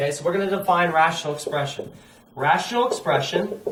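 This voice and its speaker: The speech moves at a fairly quick pace, with audible echo from the room. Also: man. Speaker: math teacher. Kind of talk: lecture.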